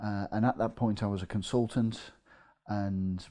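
In an English Midlands accent, a man with a fairly low pitch and a dark, mellow tone talks at a moderate pace with fairly even intonation. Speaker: property investor. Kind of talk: casual interview.

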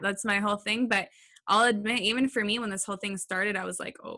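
A woman speaks at a medium pitch with ordinary pitch variation. Her tone is bright and sharp, and her pace is very fast. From California. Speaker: web designer and SEO expert. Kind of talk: interview answers, casual.

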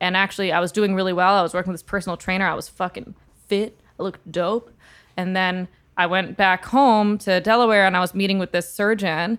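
In a very clean recording with a silent background, a woman with a plain, everyday voice speaks at medium pitch and a fairly quick pace with fairly even intonation. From Texas, San Antonio. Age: 20s. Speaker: singer-songwriter. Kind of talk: casual chat.

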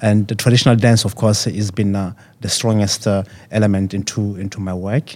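This man's fairly low voice stays monotone, with flat intonation throughout. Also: moderate pace. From South Africa. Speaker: dancer and choreographer. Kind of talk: panel interview.

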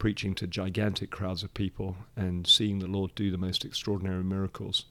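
A man speaks at a fairly quick pace in a British accent. His pitch is fairly low, with monotone, flat intonation. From Nigeria, to British parents; English. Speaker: church leader. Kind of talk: interview conversation. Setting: studio.

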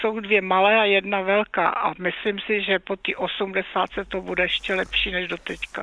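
Against noticeable background noise, a woman at medium pitch speaks in a flat monotone at a moderate pace with hardly any pauses. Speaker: radio caller. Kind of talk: phone-in call. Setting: phone call.

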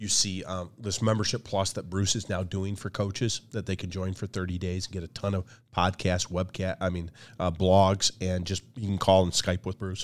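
A man with an American accent speaks at a moderate pace in a very deep, low pitch, his intonation monotone and flat, on a very clean recording with a silent background. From Michigan, the Thumb area. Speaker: athletic conference commissioner and leadership coach. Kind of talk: interview. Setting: podcast.

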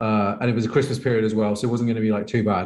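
Talking at a very fast pace, a man with a Birmingham accent has a medium pitch. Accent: Birmingham English (Brummie). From England, Birmingham. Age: 30s. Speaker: professional poker player and coach. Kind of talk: casual interview chat. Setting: remote call.

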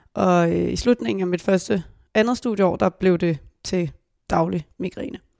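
At a fairly slow pace, a woman with a dark, mellow tone speaks in a very clean recording with a silent background. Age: 20s. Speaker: veterinary student. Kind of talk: casual chat. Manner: halting.

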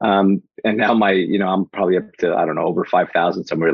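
A man speaks at a very fast pace with a very deep, low pitch. His tone is animated. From Portugal, raised in New Jersey. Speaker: mindset mentor and speaker. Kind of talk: podcast interview, motivational talk. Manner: fast talker, animated.

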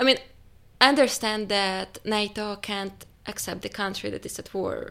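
A woman with a Ukrainian accent, fairly high-pitched, at a fairly slow pace, on a very clean recording with a silent background. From Ukraine. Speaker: journalist.

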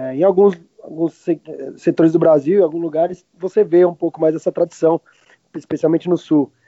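With fairly even intonation, a man speaks at a moderate pace in a high pitch. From Argentina, Martínez near Buenos Aires, moved to Brazil at 10. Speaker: restaurant owner and grill cook. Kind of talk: casual interview.

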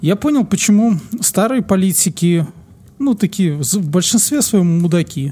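A man speaks fairly slowly in a high pitch with a dark, mellow tone and lively intonation. His loudness stays very even, and the recording is very clean with a silent background. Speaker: podcast co-host. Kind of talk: casual chat.

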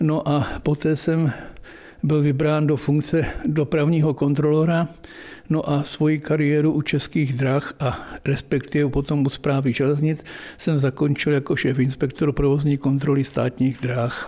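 In a dark, mellow tone, a man talks at a fairly high pitch and a fairly slow pace, his intonation monotone and flat and his loudness very even. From eastern Bohemia, Czech Republic (Chrudim area). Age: 70s. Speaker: retired railway worker, museum founder. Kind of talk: casual interview, guided museum tour. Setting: in his private railway museum. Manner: talkative, chatty.

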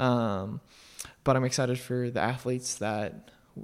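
With a General American accent, a man talks at a medium pitch on a very clean recording with a silent background. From Colorado, US. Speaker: professional distance runner. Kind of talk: interview.

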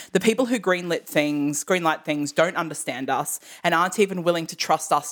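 A woman speaks at a fairly quick pace with hardly any pauses, her pitch fairly low. Her pitch varies in an ordinary way, and she has a plain, everyday voice. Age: 30s. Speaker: podcast host, musical theatre enthusiast. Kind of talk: casual chat.

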